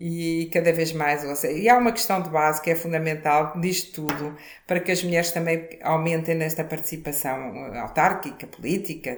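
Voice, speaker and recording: Audible room echo and noticeable background noise surround speech delivered at a moderate tempo. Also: woman. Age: 60s. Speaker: former mayor, politician. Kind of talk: interview.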